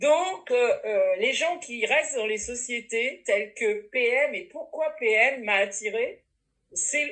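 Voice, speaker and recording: A woman speaks at a very slow pace in a bright, sharp tone. Her voice is high, with ordinary pitch variation. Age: 60s. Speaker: network marketing distributor. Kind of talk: testimony.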